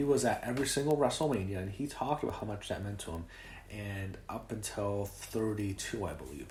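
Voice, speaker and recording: A somewhat breathy man's voice, fairly low in pitch, with a fairly quick pace and lively intonation. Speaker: wrestling commentator. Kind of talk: casual talk to camera.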